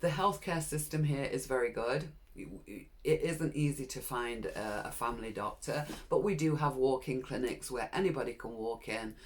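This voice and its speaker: A speaker with a British accent talks at a moderate pace. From UK. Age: 60s. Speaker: vlogger. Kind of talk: personal vlog monologue.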